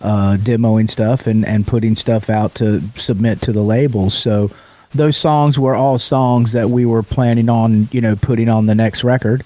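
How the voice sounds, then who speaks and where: A dark, mellow tone with fairly even intonation, moderate pace and very even loudness. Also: man, medium pitch for a man. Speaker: rock singer. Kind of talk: interview. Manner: casual, hesitant.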